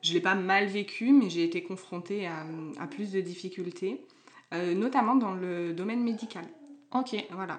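A woman with an unremarkable speaking voice talks at a medium pitch and a fairly slow pace, with ordinary pitch variation and big swings in loudness. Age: 20s. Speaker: tattoo artist. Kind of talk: casual chat.

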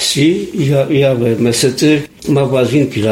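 A man, heard through noticeable background noise, talks very slowly and varies his pitch in an ordinary way. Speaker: retired printer, resident interviewee. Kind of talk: interview.

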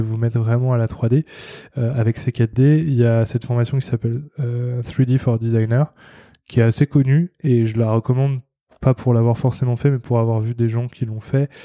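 Speaking at a moderate pace and medium pitch, a man has a dark, mellow tone and monotone, flat intonation, with a dry, close sound and no echo. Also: quiet background. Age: 30s. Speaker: freelance designer. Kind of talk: casual interview. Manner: hesitant, many fillers.

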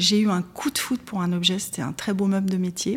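Somewhat breathy at a medium pitch, a woman speaks at a moderate pace. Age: 50s. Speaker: secondhand shop owner. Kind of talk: interview testimony.

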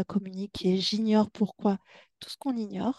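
A woman speaks in a medium-pitched, somewhat breathy voice with a dark, mellow tone. Her pace is fairly slow and her intonation fairly even, in a dry, close sound with no echo. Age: 40s. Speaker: hypnotherapist. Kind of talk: interview.

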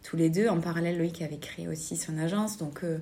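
A woman's fairly low, somewhat breathy voice with a dark, mellow tone, moderate pace, ordinary pitch variation and audible room echo. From southern France, Albi area. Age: 30s. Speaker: clothing shop owner. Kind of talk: interview. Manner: hesitant, many fillers.

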